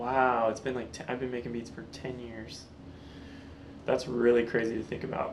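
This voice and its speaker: Over noticeable background noise, a man speaks at a medium pitch and a moderate pace. His intonation is monotone and flat, with long, frequent pauses. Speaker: actor, comedian, beatmaker. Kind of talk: interview answer. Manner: deadpan, joking.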